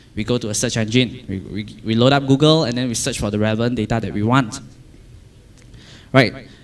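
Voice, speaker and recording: A man at a fairly quick pace with fairly even intonation, long, frequent pauses and audible room echo. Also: medium pitch for a man. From Malaysia. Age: 20s. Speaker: software developer. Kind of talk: conference talk. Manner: halting, many repetitions and fillers.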